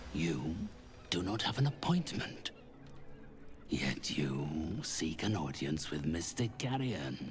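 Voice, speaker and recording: A man's put-on character voice, very deep and low, at a fairly slow pace with long, frequent pauses over clear background noise. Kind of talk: villainous theatrical game voice acting. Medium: video game. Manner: haughty, grandiose, speaks of self in third person; cold and condescending.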